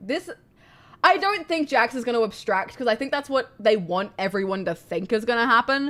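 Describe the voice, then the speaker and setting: Loud and fairly high-pitched, a woman speaks at a moderate pace with very wide pitch swings. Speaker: streamer. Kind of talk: live reaction stream.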